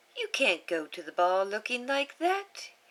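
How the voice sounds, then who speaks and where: A woman puts on a character voice, pitched high and swinging very widely up and down, at a moderate pace. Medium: read story. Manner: warm, reassuring.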